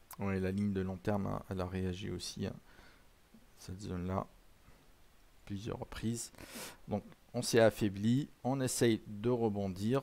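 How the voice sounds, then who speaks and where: At a fairly slow pace with long, frequent pauses, a man speaks in a dark, mellow tone at a fairly low pitch with fairly even intonation. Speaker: trading presenter. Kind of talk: live trading session, educational. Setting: live stream with chat. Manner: friendly, conversational.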